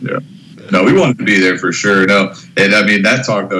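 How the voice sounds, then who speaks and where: Over noticeable background noise, the speaker moves at a fairly quick pace. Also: man. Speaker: theater technician. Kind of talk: casual chat. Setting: remote call.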